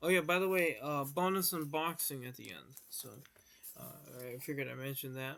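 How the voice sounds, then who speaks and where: Fairly quick and bright, sharp in tone, a man speaks at a fairly high pitch with ordinary variation and big swings in loudness. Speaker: YouTuber, collector vlogger. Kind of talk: casual vlog recap. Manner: halting, many fillers.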